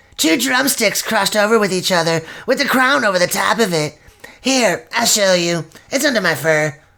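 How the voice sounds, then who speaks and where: Using a put-on character voice, a woman talks at medium pitch and a moderate pace. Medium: audio drama. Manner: casual, relaxed.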